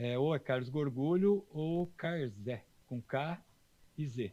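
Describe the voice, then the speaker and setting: Dark and mellow in tone, a man's voice moves through ordinary pitch variation. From southern Minas Gerais, Brazil. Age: 60s. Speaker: horse trainer. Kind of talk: casual interview chat.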